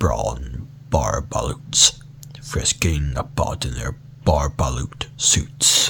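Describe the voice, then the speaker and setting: Noticeable background noise is present throughout. A man whispers very slowly. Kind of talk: ASMR book reading. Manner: soft, calm.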